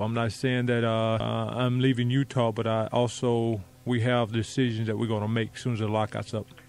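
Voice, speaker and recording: Delivered at a fairly quick pace in a monotone, flat intonation, the speech has noticeable background noise behind it. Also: man, medium pitch for a man. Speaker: former NBA player, guest radio co-host. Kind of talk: casual radio interview answer.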